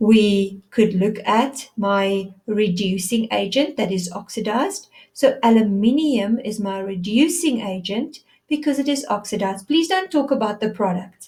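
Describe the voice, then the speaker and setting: A woman speaks at a fairly slow pace with a fairly high pitch. Her delivery is somewhat breathy, with lively intonation. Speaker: science teacher. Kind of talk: lecture.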